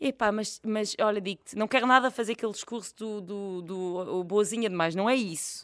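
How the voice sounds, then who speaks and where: This woman's voice sits at a medium pitch with ordinary pitch variation, moving at a moderate pace with hardly any pauses. The recording is very clean with a silent background, and the sound is dry and close with no echo. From Portugal, village near Fátima. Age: 30s. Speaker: comedian and cancer survivor. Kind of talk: casual chat. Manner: animated.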